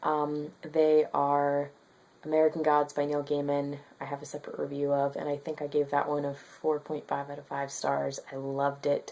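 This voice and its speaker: A woman speaks quietly at a moderate pace, her pitch very deep and low. Her tone is dark and mellow, her intonation flat and monotone. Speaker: book vlogger. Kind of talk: casual vlog monologue. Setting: at home. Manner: quiet, below normal volume; hesitant with many fillers.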